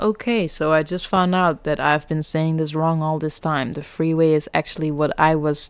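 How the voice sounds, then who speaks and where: On a very clean recording with a silent background, a woman with a non-native accent speaks in a very deep, low pitch. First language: not English. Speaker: gaming streamer. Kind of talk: let's play commentary. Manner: casual, conversational.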